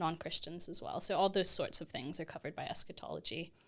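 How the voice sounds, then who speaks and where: Over a silent background in a very clean recording, a woman with a Texan accent speaks in a fairly low, bright and sharp voice with fairly even intonation. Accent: American (Texan). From Texas, US. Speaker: theology lecturer. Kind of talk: podcast interview.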